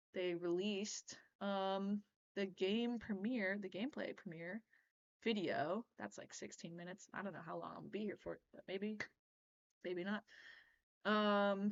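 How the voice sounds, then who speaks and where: A plain, everyday voice at a moderate pace, with fairly even intonation and big swings in loudness. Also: woman. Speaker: pinball streamer. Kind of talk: live stream reaction, casual chat. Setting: live stream at home computer. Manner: casual, filler-heavy.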